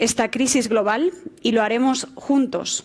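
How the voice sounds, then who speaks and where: A woman with a high voice talks fairly slowly, her pitch varying in an ordinary way. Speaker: moderator, tech journalist. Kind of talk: panel moderation. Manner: formal.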